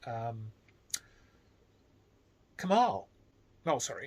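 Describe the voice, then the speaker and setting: The voice belongs to a man. Very wide swings mark his pitch. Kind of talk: casual talk to camera. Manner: slow, measured.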